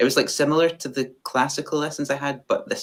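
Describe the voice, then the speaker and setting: A man with a west of Scotland accent at a very fast pace. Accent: west of Scotland Scottish. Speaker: fiddle player. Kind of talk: interview. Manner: halting, many fillers.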